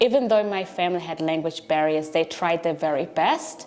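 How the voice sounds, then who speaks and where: Noticeable background noise sits behind a woman speaking with a non-native accent. Her voice is fairly low in pitch, and her intonation stays fairly even. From came to Australia at age eleven. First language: not English. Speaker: teacher and learning centre founder. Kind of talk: documentary interview.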